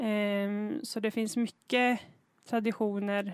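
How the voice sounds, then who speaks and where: With a normal speaking voice, a woman talks at a medium pitch and with fairly even intonation. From northern Dalarna, Sweden (Sami). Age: 20s. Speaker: Sami podcaster and dancer. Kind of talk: podcast interview. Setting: outdoors.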